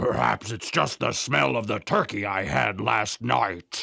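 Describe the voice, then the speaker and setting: A man's put-on character voice, growling and very deep and low, at a fairly slow pace. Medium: read story. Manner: booming, gruff.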